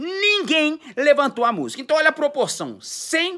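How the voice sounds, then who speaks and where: A raised, projected voice with an animated, bright and sharp tone and lively intonation comes at a fairly slow pace on a very clean recording with a silent background. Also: man. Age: 40s. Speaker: music career coach. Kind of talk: motivational monologue.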